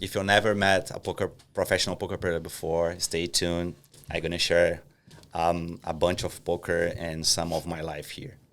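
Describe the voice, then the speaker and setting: This man has a very deep, low voice with a Portuguese accent. He talks at a moderate pace in a monotone, flat intonation. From Brazil, Curitiba. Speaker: professional poker player. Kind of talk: casual podcast interview.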